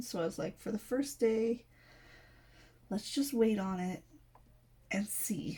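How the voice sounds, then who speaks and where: Her tone is dark and mellow. This woman sounds somewhat breathy, and her pitch varies in an ordinary way. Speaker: crafting youtuber. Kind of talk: casual chat. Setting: home recording at night. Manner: casual, filler-heavy.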